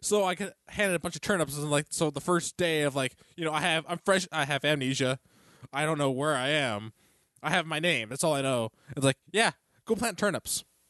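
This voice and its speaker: The tone is bright and sharp, with ordinary pitch variation and a fairly quick pace. The sound is dry and close with no echo, over a quiet background. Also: man, fairly high pitch for a man. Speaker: podcast co-host. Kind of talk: casual chat. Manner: joking, bantering.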